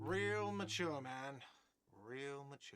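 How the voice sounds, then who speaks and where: A man puts on a whiny character voice. His pitch sits at a medium level. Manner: shouting, complaining.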